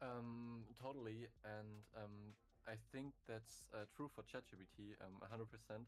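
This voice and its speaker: A man with a German accent speaks at a fairly slow pace. His fairly low voice keeps a monotone, flat intonation. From Germany. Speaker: viewer, programmer. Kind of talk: casual chat. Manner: halting, many fillers.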